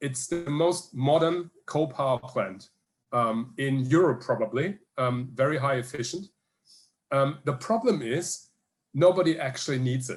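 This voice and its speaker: Speaking with a German accent, a man has a fairly high pitch and a somewhat breathy voice. He goes at a fairly slow pace with ordinary pitch variation. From Germany, Hamburg. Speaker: energy researcher. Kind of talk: Q&A answer at online conference. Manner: halting, many fillers.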